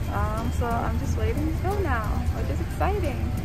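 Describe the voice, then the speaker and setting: Loud music plays behind a woman who speaks at a moderate pace in a dry sound with no echo. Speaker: student traveler vlogger. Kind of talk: casual vlog chat. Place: plane. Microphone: phone near.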